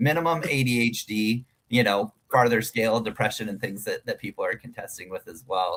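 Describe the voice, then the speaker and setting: A man's medium-pitched voice, fairly quick with hardly any pauses, ordinary pitch variation and a dry, close sound with no echo. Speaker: stand-up comedian. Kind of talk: casual interview chat. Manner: loud.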